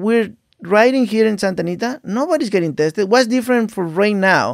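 With a Mexican accent, a man talks at a fairly quick pace and high pitch. His intonation is lively. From Mexico, Veracruz. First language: Spanish. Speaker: jockey. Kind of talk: casual chat.

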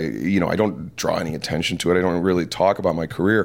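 A very clean recording with a silent background of a man with a very deep, low pitch, an American accent and ordinary pitch variation. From Detroit, US Midwest. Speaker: wrestling commentator. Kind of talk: interview conversation. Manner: halting, many fillers.

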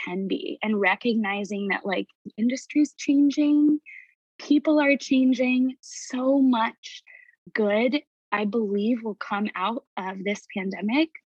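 Speaking at a fairly slow pace, a woman sounds somewhat breathy and uses lively intonation. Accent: American. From Indiana. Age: 30s. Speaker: young mother and performer. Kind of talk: emotional testimony.

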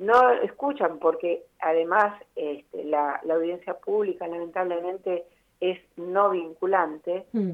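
A woman at medium pitch, speaking at a very slow pace with ordinary pitch variation. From Buenos Aires, Argentina. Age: 60s. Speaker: architect and urban planner. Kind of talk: radio interview.

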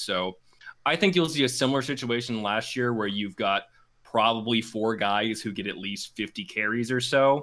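On a very clean recording with a silent background, a man with a medium pitch and a bright, sharp tone speaks at a moderate pace. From Alabama, Birmingham. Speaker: sports podcaster. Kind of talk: casual chat. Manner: hesitant filler-heavy.

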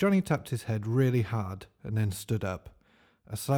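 A natural voice reading aloud

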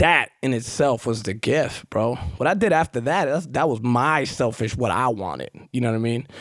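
Speaking in a New York accent, a man talks at a moderate pace with hardly any pauses. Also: medium pitch for a man, lively intonation. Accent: New York, rough. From Queens, New York. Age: 40s. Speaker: recovering addict, guest. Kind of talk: casual interview. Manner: conversational, fills with 'you know'.

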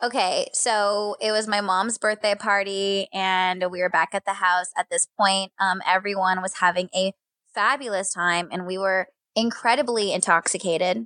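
A woman speaks loudly at medium pitch and a moderate pace, her tone bright and sharp. The sound is dry and close with no echo, against a quiet background. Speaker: radio phone screener and social media producer. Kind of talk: casual chat. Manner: animated.

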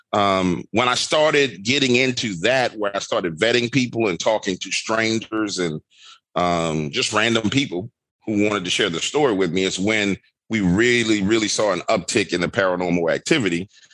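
A man's fairly low, animated voice with a New Orleans accent, moderate pace and ordinary pitch variation. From New Orleans, Louisiana. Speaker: horror storyteller and YouTuber. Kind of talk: casual chat with storytelling.

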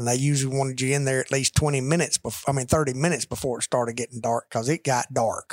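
The delivery comes at a very fast pace with a Southern US accent. Intonation is monotone and flat. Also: man, medium pitch for a man. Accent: Southern US (Georgia). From US South, Rome, Georgia. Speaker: business executive and cattle farmer. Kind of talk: casual chat. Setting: office.

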